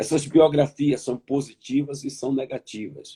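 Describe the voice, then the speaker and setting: Very slow, somewhat breathy speech from a man at medium pitch, with a dark, mellow tone and dry, close sound with no echo. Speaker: pastor. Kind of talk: sermon. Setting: online conference. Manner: repetitive, emphatic.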